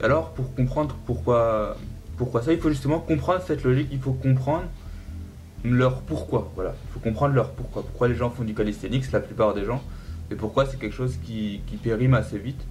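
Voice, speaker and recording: Over music in the background and audible room echo, the speaker talks at a moderate pace with lively intonation. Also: man, medium pitch for a man. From central France. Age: 20s. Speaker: calisthenics athlete. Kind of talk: podcast interview.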